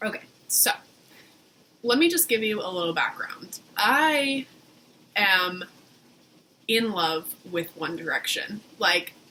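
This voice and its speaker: The speaker talks at a very slow pace with long, frequent pauses and very wide pitch swings over noticeable background noise. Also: woman, medium pitch for a woman. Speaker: vlogger. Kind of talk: casual chat.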